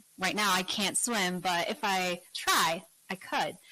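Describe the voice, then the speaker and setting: The voice has a Korean accent, a bright, sharp tone and ordinary pitch variation. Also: woman. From South Korea. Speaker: English teacher and YouTuber. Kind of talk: interview. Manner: animated.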